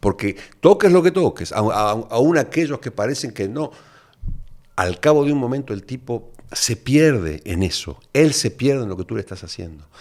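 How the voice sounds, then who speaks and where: Recorded very cleanly against a silent background, a man of medium pitch talks at a moderate pace, with very wide pitch swings and big swings in loudness. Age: 60s. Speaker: neuroscientist and addiction specialist. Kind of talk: podcast interview.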